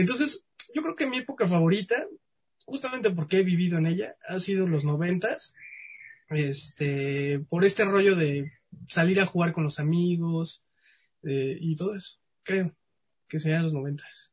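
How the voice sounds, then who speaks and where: Speaking fairly slowly with long, frequent pauses, a man with a Mexican accent uses a high pitch and lively intonation. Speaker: science communicator. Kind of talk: casual interview.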